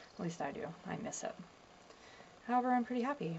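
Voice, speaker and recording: Soft-spoken, a woman talks at a very fast pace with lively intonation. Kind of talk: reading diary entries aloud to camera.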